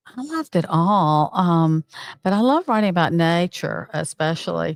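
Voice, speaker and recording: Speaking with a Southern US accent, the voice keeps very even loudness and ordinary pitch variation. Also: woman, fairly low pitch for a woman, moderate pace, dry, close sound with no echo. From Alabama, US South. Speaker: former journalist and nature advocate. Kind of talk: interview. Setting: live at a conference. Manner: halting, many fillers.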